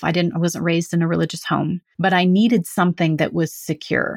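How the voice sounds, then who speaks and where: A fairly low-pitched woman's voice with vocal fry and a West Coast American accent, dry and close with no echo, on a very clean recording with a silent background. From California. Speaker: hypnotherapist. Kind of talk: interview conversation.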